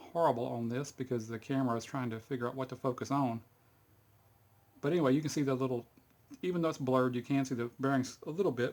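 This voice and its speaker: At a very fast pace, a man speaks at medium pitch. His intonation stays fairly even. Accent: Texas. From Texas. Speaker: hobbyist video maker. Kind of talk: tutorial. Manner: casual, halting with fillers.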